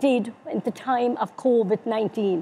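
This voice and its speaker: With a Cork accent, a woman speaks at a high pitch with ordinary pitch variation. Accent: Irish (Cork). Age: 70s. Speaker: older people's council officer. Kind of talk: interview. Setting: webinar.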